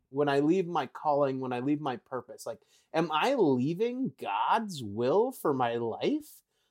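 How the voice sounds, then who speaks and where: A man with an Upper Midwest accent swings his pitch very widely. The recording is very clean and silent in the background, with a dry, close sound and no echo. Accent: Upper Midwest American. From Wisconsin. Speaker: former youth pastor now in sales. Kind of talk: casual conversation, personal testimony.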